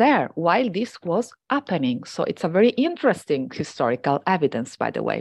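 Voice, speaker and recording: A woman speaks with an Italian accent at a fairly low pitch and a moderate pace, her pitch swinging very widely. The sound is dry and close with no echo, over a quiet background. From Venice, Italy. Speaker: historian and writer. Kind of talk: interview.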